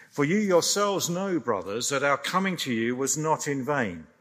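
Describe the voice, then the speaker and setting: A man at a moderate pace, his pitch swinging very widely, on a very clean recording with a silent background. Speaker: scripture reader. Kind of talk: reading aloud.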